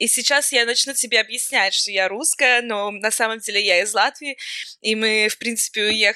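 A woman talks at a moderate pace in a bright, sharp, fairly high voice with fairly even intonation. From Latvia (Riga). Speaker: emigrant guest. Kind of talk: casual chat.

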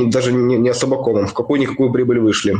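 Against noticeable background noise, a man talks very fast at medium pitch. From Kirov, Russia. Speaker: infobusiness producer. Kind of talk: interview, casual chat.

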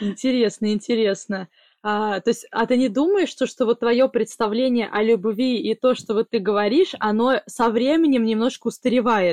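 Over a very clean recording with a silent background, a woman in a normal speaking voice talks at a moderate pace, fairly high in pitch with ordinary variation and very even loudness. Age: 20s. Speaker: podcast host. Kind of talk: casual chat, interview with grandmother.

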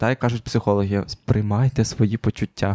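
On a very clean recording with a silent background, a normal speaking voice moves at a fairly quick pace. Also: man, dry, close sound with no echo. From Ukraine. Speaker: podcast host. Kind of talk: casual chat.

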